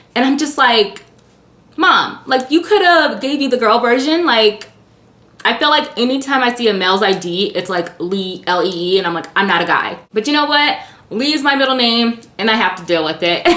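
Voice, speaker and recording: Her fairly high-pitched voice has an animated tone and very wide pitch swings at a moderate pace. Noticeable background noise accompanies the woman. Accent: American. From US, Illinois then Nevada/California. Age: 30s. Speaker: beauty YouTuber. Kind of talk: casual Q&A vlog.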